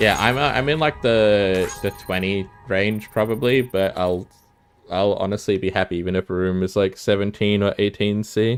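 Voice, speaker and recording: With music in the background, a man in an Australian accent speaks at a moderate pace, his pitch fairly low with ordinary variation and his loudness very even. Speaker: gaming streamer. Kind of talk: casual chat.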